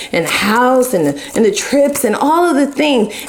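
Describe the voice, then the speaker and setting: Against noticeable background noise and audible room echo, a woman talks at a moderate pace in an animated tone. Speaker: tarot reader. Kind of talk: tarot reading. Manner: loud.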